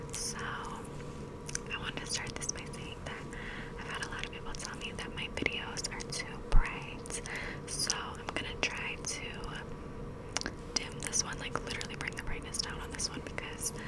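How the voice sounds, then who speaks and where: Noticeable background noise surrounds a whispering woman. She keeps a fairly slow pace. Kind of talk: ASMR skincare ramble to camera.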